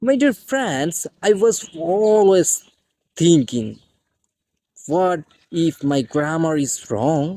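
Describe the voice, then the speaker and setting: Someone speaks at a very slow pace with a Bengali accent. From Bangladesh. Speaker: English teacher. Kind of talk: tutorial.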